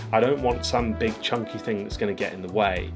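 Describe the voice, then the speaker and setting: Over clear music in the background, a man speaks at a fairly quick pace. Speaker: gear reviewer. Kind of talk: product review vlog. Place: home room.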